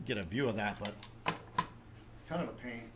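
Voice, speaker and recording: A man talks with an American accent at a moderate pace. Audible room echo colors the recording. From New Jersey (North Jersey, with Brooklyn). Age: 40s. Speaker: 3D printing youtuber. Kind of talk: live stream tutorial and chat. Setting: live stream with webcam.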